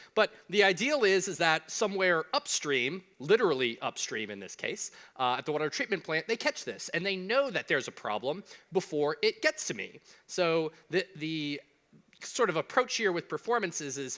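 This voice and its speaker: High-pitched man with a Southern US accent, an animated, bright, sharp tone and very wide pitch swings, in a dry, close sound with no echo and a very clean recording with a silent background. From US South. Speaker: conference speaker. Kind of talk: conference talk. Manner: fast.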